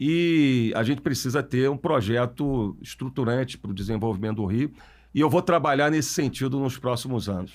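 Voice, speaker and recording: At a moderate pace and medium pitch, a man talks in a plain, everyday voice with ordinary pitch variation, in a very clean recording with a silent background. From Brazil, Niterói (Rio de Janeiro state). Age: 40s. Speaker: mayor, politician. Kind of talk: podcast interview.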